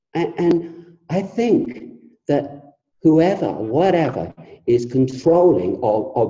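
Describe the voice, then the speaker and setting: With lively intonation and vocal fry, a man speaks very slowly in a dark, mellow tone. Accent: English. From England. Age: 70s. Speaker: author and former musician. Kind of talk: interview.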